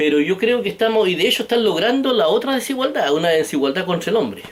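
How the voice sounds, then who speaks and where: Speaking very fast in a Chilean accent, the man sounds animated, his pitch swinging very widely. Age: 60s. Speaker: political vlogger. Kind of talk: political monologue.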